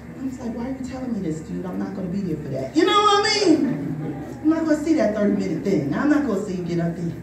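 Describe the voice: A woman speaks at a fast pace with big pitch swings. Room echo is audible. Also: medium pitch for a woman.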